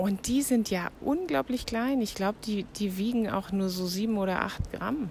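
A woman at medium pitch talks at a moderate pace with hardly any pauses, lively intonation and very even loudness, while noticeable background noise plays. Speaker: podcast host. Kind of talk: casual monologue. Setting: outdoors.

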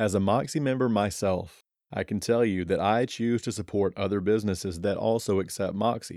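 This man has an unremarkable speaking voice with an American accent, a fairly low pitch and ordinary pitch variation, delivered at a moderate pace in a very clean recording with a silent background. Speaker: podcast host. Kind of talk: interview.

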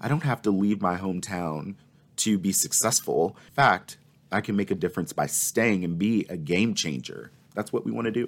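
A man speaks at a moderate pace in a fairly low pitch, with lively intonation and an ordinary speaking voice. The recording is very clean, with a silent background. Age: 20s. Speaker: nonprofit executive. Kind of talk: interview conversation.

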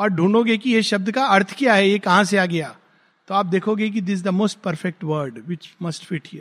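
The intonation is lively. The tone is bright and sharp. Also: man. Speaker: spiritual teacher. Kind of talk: lecture. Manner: halting.

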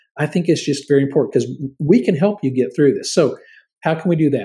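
On a very clean recording with a silent background, a man speaks at a fairly quick pace and a fairly high pitch, with a dark, mellow tone, vocal fry and ordinary pitch variation. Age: 50s. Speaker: podcast host and career trainer. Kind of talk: solo informational talk.

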